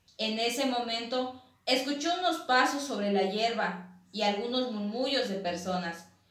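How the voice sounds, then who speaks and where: Lively intonation from a woman with fairly high pitch, a fairly slow pace and audible room echo. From Quintana Roo, Mexico. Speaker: university student reading her own legend. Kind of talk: reading aloud a legend, ghost story telling. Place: home room. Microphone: camera far.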